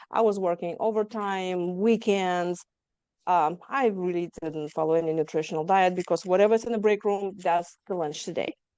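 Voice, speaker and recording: A woman with a slight Lithuanian accent speaks at medium pitch in a dark, mellow tone. Her intonation is fairly even, and the background is quiet. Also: moderate pace. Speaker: trauma survivor guest. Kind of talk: interview testimony.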